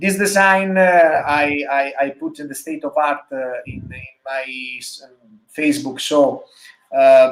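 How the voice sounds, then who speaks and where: A man speaks with an Italian accent and a fairly high pitch. His pace is fairly slow, with ordinary pitch variation. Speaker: motorcycle designer. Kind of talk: interview. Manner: halting, many fillers.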